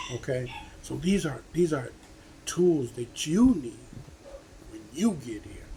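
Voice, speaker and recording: Noticeable background noise sits under the speech. The pace is fairly slow. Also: man. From United States. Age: 70s. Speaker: vlogger giving life advice. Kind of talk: casual motivational talk to camera. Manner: conversational, repetitive with frequent okay.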